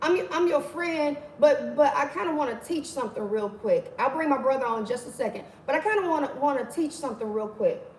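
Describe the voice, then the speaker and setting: Over noticeable background noise, a woman with a high pitch talks at a fairly quick pace, her tone animated and her intonation lively. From Mississippi, US South. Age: 40s. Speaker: livestream host, motivational speaker. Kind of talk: casual livestream teaching. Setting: livestream.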